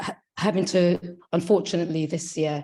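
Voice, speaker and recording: Here a woman speaks at a moderate pace in a dark, mellow tone. The background is quiet. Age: 50s. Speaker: sickle cell patient and community advocate. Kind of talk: testimony.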